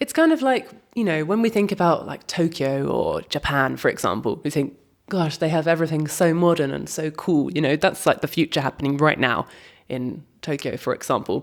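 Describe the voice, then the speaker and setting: A woman with a very deep, low pitch and vocal fry talks at a fairly quick pace with lively intonation on a very clean recording with a silent background. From Britain. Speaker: podcast host. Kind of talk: casual chat.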